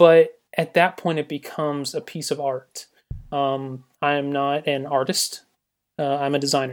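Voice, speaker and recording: In a Southern US accent, a man speaks at a fairly high pitch with monotone, flat intonation. The recording is very clean, the background silent. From US South, Georgia. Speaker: graphic designer. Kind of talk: casual interview chat.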